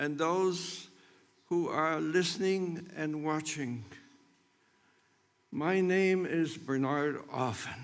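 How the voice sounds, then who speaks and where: In a room with audible echo, a man with a fairly high pitch speaks at a very slow pace, with long, frequent pauses. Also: ordinary pitch variation. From Poland, Krakow. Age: 90s. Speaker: Holocaust survivor. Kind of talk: testimony. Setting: memorial ceremony.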